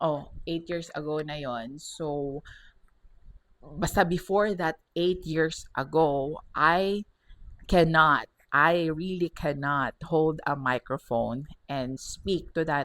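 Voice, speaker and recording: A woman's very deep, low voice at a very slow pace, in a very clean recording with a silent background. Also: ordinary pitch variation. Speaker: podcast host and radio host. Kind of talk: personal reflection monologue.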